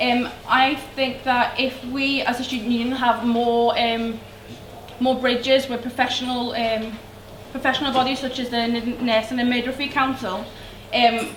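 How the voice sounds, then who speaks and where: A woman with a Liverpool accent, high in pitch, at a moderate pace with monotone, flat intonation, plus audible room echo and noticeable background noise. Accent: Liverpool (Scouse). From Liverpool, England. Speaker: student union election candidate. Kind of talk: campaign speech. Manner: hesitant, many fillers.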